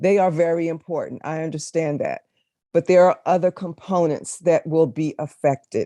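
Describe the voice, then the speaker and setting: A woman talks at a moderate pace in a plain, everyday voice, her pitch fairly low and her intonation fairly even. The sound is dry and close, with no echo. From Maryland, Prince George's County. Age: 60s. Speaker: public hearing witness. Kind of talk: legislative testimony. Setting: committee hearing.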